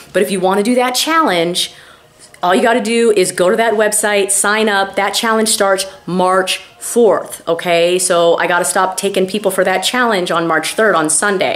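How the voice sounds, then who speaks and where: An animated woman's voice, with ordinary pitch variation, very even loudness and noticeable background noise. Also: medium pitch for a woman. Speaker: weight loss doctor and YouTuber. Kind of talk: casual vlog with sales pitch. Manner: fast.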